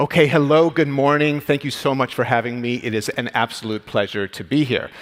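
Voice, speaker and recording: A man with an American accent talks at a fairly quick pace in a normal speaking voice. His pitch is fairly high, with ordinary pitch variation. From United States. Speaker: radiologist and medical executive. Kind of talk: conference talk. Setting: stage with audience.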